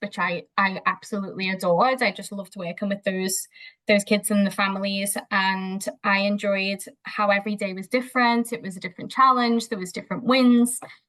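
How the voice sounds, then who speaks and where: A woman's bright, sharp voice at medium pitch, with a Liverpool accent, ordinary pitch variation and a fairly quick pace. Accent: Liverpool (Scouse) English. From Liverpool, England. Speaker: behaviour analyst. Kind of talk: interview conversation. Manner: hesitant, with fillers.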